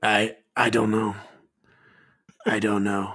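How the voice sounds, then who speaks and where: A raspy, put-on character voice delivers every line in a flat monotone. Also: man, fairly low pitch for a man. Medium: actual play. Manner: halting, hesitant, murmuring.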